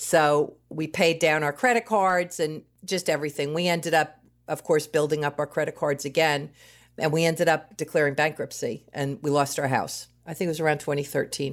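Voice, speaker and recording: In an American accent, the speaker talks at a moderate pace with fairly even intonation on a very clean recording with a silent background. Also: woman, very deep, low pitch for a woman. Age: 60s. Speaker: marketing manager. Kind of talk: personal testimony.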